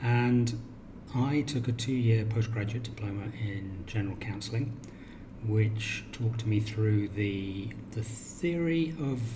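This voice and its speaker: A man talks with a British accent. Noticeable background noise and audible room echo fill the recording. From England, Cornwall. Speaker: counsellor. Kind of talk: self-introduction video.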